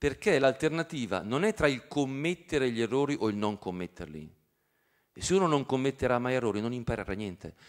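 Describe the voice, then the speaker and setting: Against a quiet background, a man with a medium pitch speaks at a fairly quick pace. His pitch swings very widely. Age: 50s. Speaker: professor. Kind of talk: lecture. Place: hall. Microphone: handheld.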